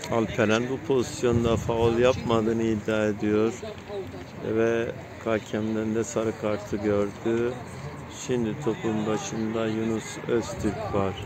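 Background noise is clearly audible as a man speaks slowly. His pitch is fairly low and moves very little.

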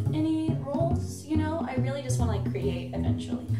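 Loud music fills the background. Over it, a woman talks. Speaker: interview guest. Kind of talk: interview answer. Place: home room.

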